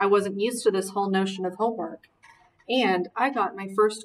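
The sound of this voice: Here is an unforced reading voice with fairly even intonation.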